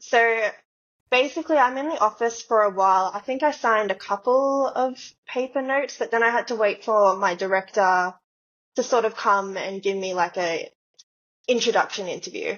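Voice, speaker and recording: In an Australian accent, a woman with a fairly high pitch talks at a moderate pace with ordinary pitch variation. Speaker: dancer. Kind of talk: casual chat. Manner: animated.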